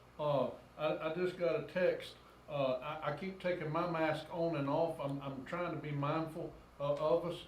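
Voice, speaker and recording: Amid noticeable background noise and audible room echo, a man with a fairly high pitch talks at a moderate pace in a monotone, flat intonation. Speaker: town mayor. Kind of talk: council meeting chairing. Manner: loud. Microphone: sensitive room microphone, mask muffles it.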